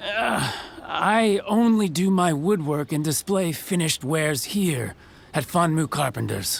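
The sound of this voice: A man puts on a character voice with vocal fry and a fairly high pitch. He goes at a slow pace with lively intonation.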